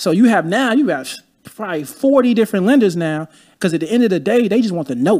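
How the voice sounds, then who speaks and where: On a very clean recording with a silent background, a man speaks very fast in a high voice. His pitch swings very widely. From Chicago. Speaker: real estate investor. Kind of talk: casual interview.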